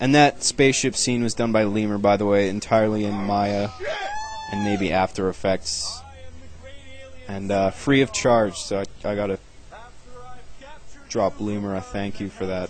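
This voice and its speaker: At a moderate pace, a man speaks in a fairly low pitch with fairly even intonation. Long, frequent pauses and noticeable background noise mark the clip. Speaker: web series creator doing commentary. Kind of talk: video commentary. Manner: laid back; monotone.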